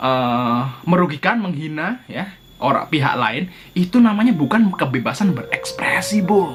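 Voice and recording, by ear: This man talks at a moderate pace in a fairly high voice, with a fairly bright tone and lively intonation.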